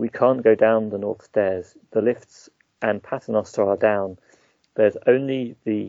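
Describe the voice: The pitch shows ordinary variation in this plain reading aloud. Behind it, the background stays quiet.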